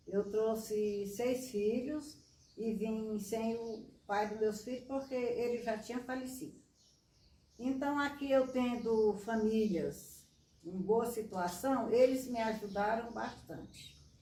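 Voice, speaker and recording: Very slowly, a woman speaks with a fairly high pitch amid audible room echo. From Piauí, northeastern Brazil. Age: 90s. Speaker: veteran street runner. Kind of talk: interview.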